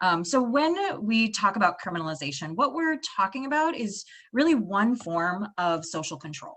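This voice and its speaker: Her pitch medium and her tone bright and sharp, a woman speaks with very wide pitch swings. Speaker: panelist, sex worker rights advocate. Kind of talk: panel discussion. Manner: fast; halting.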